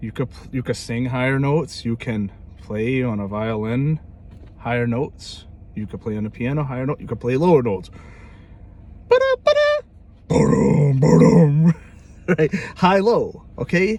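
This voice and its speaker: A medium-pitched man with an American accent, lively intonation and a moderate pace, broken by long, frequent pauses, over noticeable background noise. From New York. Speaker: music teacher. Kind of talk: tutorial; casual chat. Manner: informal.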